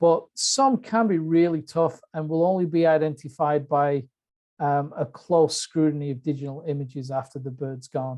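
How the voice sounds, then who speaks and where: Delivery is moderately paced. An English accent comes through. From UK. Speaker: bird identification expert giving a webinar talk. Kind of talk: webinar lecture. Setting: online webinar. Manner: hesitant, many fillers.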